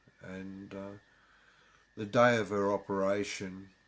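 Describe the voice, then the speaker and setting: Over a silent background on a very clean recording, a man with an Australian accent speaks at a fairly low pitch. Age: 60s. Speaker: convert sharing his story. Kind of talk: personal testimony. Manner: halting, many fillers.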